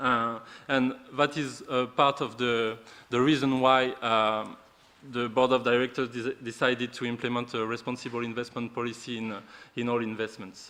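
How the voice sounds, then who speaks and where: In a French accent, a man speaks at a moderate pace with a bright, sharp tone and monotone, flat intonation. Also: medium pitch for a man. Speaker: responsible investment officer. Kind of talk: conference presentation. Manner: halting.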